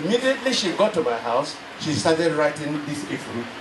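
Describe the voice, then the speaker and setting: Amid noticeable background noise, a man with a fairly high pitch talks at a moderate pace. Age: 80s+. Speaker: retired teacher. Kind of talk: personal reminiscence. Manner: halting.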